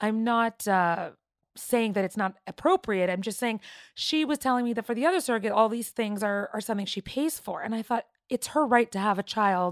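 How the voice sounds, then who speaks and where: A woman with a Canadian accent has an ordinary speaking voice at a fairly high pitch, talking at a fairly quick pace with ordinary pitch variation, in a dry, close sound with no echo and a very clean recording with a silent background. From Toronto, Canada. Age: 30s. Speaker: gestational surrogate. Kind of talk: interview testimony.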